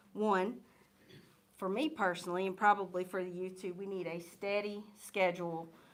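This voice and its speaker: In a room with audible echo, a woman speaks at a moderate pace and a medium pitch. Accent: Southern US. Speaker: church youth leader. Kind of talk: church vision presentation. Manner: loud.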